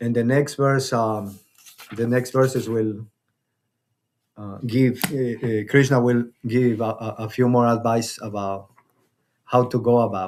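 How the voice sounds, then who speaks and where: A man with a Spanish accent speaks at a medium pitch in a monotone, flat intonation. His pace is fairly slow, with long, frequent pauses. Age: 50s. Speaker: spiritual teacher. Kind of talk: spiritual discussion class. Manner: halting, many repetitions.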